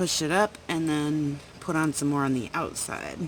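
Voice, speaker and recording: Fairly slow delivery amid noticeable background noise. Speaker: full-time RV living vlogger. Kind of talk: casual vlog narration. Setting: outdoors at night beside RV. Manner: quiet, speaking softly.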